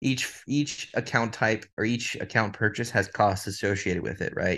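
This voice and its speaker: At a moderate pace, a man speaks in a Texan accent against a quiet background. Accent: Texan American. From Texas (Dallas). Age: 20s. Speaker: prop trading firm CEO. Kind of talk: interview.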